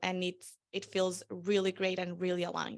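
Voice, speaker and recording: With a Spanish accent, a woman speaks at a moderate pace in a medium pitch. Her tone is bright and sharp against a quiet background. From Venezuela. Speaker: marketing strategist. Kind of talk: interview.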